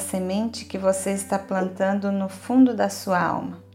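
With music in the background, a woman at a medium pitch speaks in a calm, soothing tone at a fairly slow pace with fairly even intonation. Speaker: yoga nidra guide. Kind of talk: guided meditation. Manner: slow, calm, soothing, with long pauses; gentle, steady, listing body parts in a measured rhythm.

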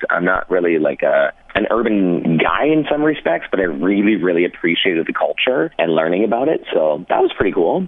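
Against noticeable background noise, a man with a Canadian accent talks at a fairly quick pace in a fairly low pitch, with very wide pitch swings and very even loudness. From Ontario, Canada (London). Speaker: radio morning host. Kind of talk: casual interview chat.

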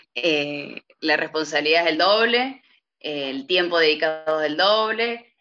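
This woman speaks at a fairly slow pace in a very deep, low voice with lively intonation. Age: 30s. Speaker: lawyer's office administrator. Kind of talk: interview. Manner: hesitant with filler sounds.

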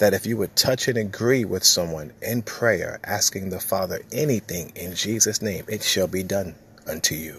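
Pitch shifts in an ordinary way as the speech proceeds at a moderate pace. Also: man. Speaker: preacher. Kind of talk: fervent prayer and sermon-style exhortation, delivered as a devotional message. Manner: earnest, impassioned, urgent; emphatic and repetitive, declaring with conviction.

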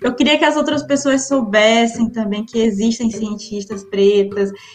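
Background noise can be clearly heard. The talking proceeds at a fairly slow pace. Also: woman. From Maranhão, Brazil (Imperatriz). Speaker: physics PhD student and science communicator. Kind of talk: interview.

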